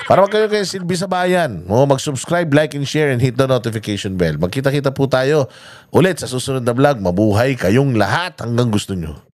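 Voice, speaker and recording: Very wide pitch swings mark this man's animated tone as he speaks at a fairly quick pace. The recording is very clean, with a silent background. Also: medium pitch for a man. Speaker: political commentary vlogger. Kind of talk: casual news reaction vlog.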